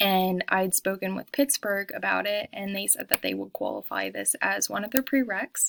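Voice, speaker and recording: The sound is dry and close with no echo. A woman speaks at a moderate pace. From Pennsylvania (Montoursville, near Williamsport). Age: 20s. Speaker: student. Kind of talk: self-introduction video. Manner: casual, many filler ums.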